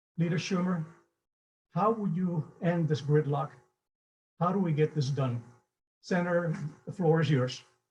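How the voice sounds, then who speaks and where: A man with a Cuban accent speaks at a high pitch with very even loudness. He leaves long, frequent pauses. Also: ordinary pitch variation, moderate pace. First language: Spanish. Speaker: event moderator, business advocate. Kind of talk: moderated panel introduction.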